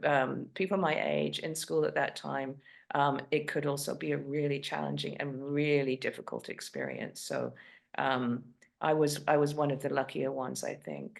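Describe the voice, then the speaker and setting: A woman speaking at a moderate pace over a quiet background. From England. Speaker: novelist. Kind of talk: interview. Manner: halting, many fillers and restarts.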